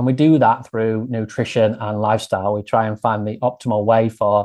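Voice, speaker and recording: A man speaks with monotone, flat intonation. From Grimsby, Lincolnshire, England. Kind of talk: casual interview chat.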